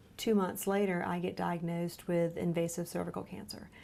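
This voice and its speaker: A woman speaks in a Lowcountry accent. Her pace is moderate. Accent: US Southern, Lowcountry. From South Carolina Lowcountry, Beaufort. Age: 30s. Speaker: genetic counselor, cancer patient. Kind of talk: interview testimony.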